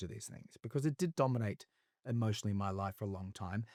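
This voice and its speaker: A dark, mellow tone with an Australian accent, fairly quick pace, ordinary pitch variation, and a dry, close sound with no echo. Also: man. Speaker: actor, singer, television presenter. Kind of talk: interview answer. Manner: candid, reflective.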